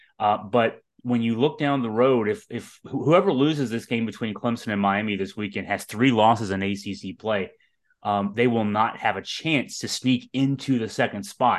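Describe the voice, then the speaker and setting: The man has an unremarkable speaking voice at medium pitch, with ordinary pitch variation. He talks at a fairly quick pace against a quiet background. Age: 50s. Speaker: sports podcast host. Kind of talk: casual sports talk. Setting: podcast recording, also on video.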